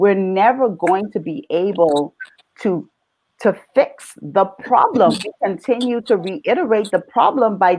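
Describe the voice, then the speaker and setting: An animated woman's voice in a Bahamian accent, fairly high and lively in intonation, at a fairly slow pace. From Bahamas. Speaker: mother in panel discussion. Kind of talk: panel discussion.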